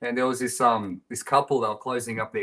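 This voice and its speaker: A man talks at a very fast pace in an Australian accent. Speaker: band musician. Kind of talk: casual chat.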